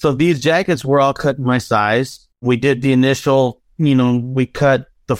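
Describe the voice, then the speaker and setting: A man speaks in a plain, everyday voice at a medium pitch and moderate pace, with fairly even intonation. The sound is dry and close with no echo, on a very clean recording with a silent background. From Southern California (North Hollywood), Mexican-American family. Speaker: fashion designer. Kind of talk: casual interview chat.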